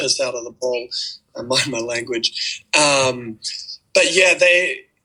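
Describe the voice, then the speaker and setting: With music in the background, a man of medium pitch speaks at a very slow pace, with ordinary pitch variation and big swings in loudness. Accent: New Zealand. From Auckland, New Zealand. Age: 20s. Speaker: college basketball player. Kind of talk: interview answer. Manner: casual, hesitant.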